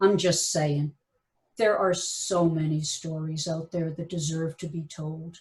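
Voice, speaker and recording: The voice is somewhat breathy. Its pace is fairly slow. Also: woman. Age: 70s. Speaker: radio historian and author. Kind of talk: lecture. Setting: video call.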